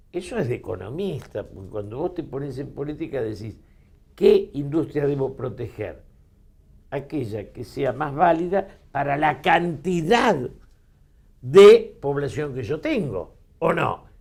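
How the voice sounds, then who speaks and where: Somewhat breathy, a man speaks fairly slowly at a fairly high pitch. His intonation is lively, with big swings in loudness. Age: 70s. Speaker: politician and political commentator. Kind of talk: interview.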